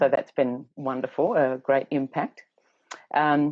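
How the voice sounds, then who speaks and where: A woman is speaking. She has an Australian accent. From Australia, Tasmania northwest coast. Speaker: educator and teacher trainer. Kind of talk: interview. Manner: hesitant, many fillers.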